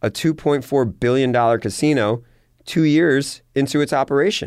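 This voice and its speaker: On a very clean recording with a silent background, a man uses an ordinary speaking voice, fairly high in pitch, at a moderate pace. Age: 40s. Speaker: entrepreneur. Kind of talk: interview.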